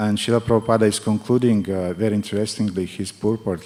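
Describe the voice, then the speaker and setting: Over noticeable background noise, a man with a strong non-native accent talks in a fairly low, monotone, flat delivery. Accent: thick foreign. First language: not English. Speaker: spiritual teacher. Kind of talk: religious class with consecutive interpretation. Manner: halting.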